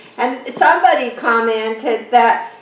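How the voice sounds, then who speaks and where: A woman speaks with audible room echo. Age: 70s. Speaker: orchid grower and gardening vlogger. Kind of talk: casual home video tutorial. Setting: at home, indoors. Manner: chatty, halting with repeated words.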